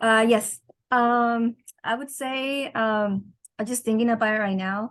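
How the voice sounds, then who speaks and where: A woman with a Californian accent, fairly high-pitched, with flat, monotone intonation at a fairly slow pace. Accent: Californian American English. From Southern California (El Monte). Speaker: student. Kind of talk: class discussion. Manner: halting.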